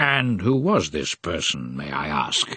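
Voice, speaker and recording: A man's put-on character voice, raspy and very deep, with very wide pitch swings and a fairly slow pace. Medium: read story. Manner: authoritative, dry.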